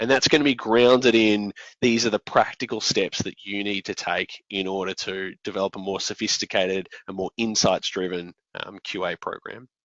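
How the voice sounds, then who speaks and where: A man with an Australian accent, at a moderate pace with ordinary pitch variation. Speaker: software company founder and presenter. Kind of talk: conference presentation. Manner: hesitant, many fillers.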